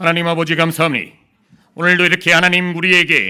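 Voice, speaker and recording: Putting on a character voice, a man speaks at a very fast pace with a high, resonant pitch and monotone, flat intonation. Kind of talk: solemn, church-prayer style. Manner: grand, resonant, carrying.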